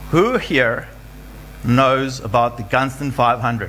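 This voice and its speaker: Medium-pitched male speech with audible room echo and noticeable background noise. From South Africa, Western Cape (Rawsonville). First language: not English (Greek family; English is third language). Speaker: adventure runner and event speaker. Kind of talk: motivational talk. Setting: stage with audience.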